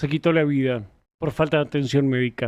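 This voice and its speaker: A man uses a raised, projected voice with a bright, sharp tone in a very clean recording with a silent background. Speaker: streamer. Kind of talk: live stream commentary.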